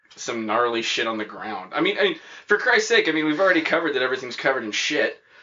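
Against noticeable background noise, a man with a high voice speaks at a fairly quick pace, his pitch swinging very widely. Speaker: podcast co-host. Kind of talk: informal slang. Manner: casual, profane, rambling with many fillers.

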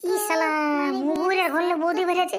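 A woman's cartoonish character voice, squeaky and raspy, extremely high in pitch with fairly even intonation

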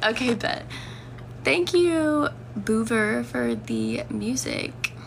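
The woman talks at a very slow pace. There is light noise in the background. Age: 20s. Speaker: livestreamer. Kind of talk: casual chat. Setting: lying down at home with her dog. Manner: animated. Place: home room. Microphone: phone near.

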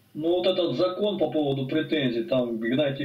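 Background noise is noticeable as a man talks at a fairly quick pace. His intonation is lively. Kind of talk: casual chat. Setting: video call.

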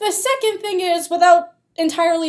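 A woman speaks in an animated tone over a quiet background. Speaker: college student vlogger. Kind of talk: casual vlog rant. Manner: animated, exasperated. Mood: exasperated critique. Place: meeting room. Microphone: webcam.

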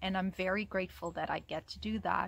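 With a Portuguese accent, a woman speaks at a moderate pace. The sound is dry and echo-free, with light background noise. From Portugal. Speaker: operations manager. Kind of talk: corporate testimonial to camera. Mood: warm, proud. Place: garden. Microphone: phone near.

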